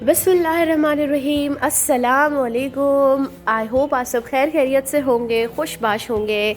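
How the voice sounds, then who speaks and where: A woman talking with hardly any pauses, music playing in the background. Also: ordinary pitch variation. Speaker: vlogger. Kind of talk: vlog. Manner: hesitant, many fillers.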